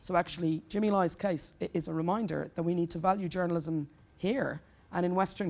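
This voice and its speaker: On a very clean recording with a silent background, a woman with an Irish accent talks at a fairly quick pace, her fairly low pitch held in fairly even intonation. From Ireland. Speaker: human rights lawyer. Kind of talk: panel Q&A at press club.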